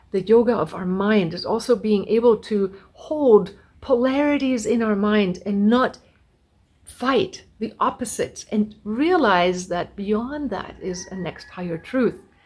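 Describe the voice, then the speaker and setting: Somewhat breathy and fairly high-pitched, a woman's voice shows big swings in loudness. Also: ordinary pitch variation, fairly slow pace. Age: 60s. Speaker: spiritual teacher. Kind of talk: spiritual talk.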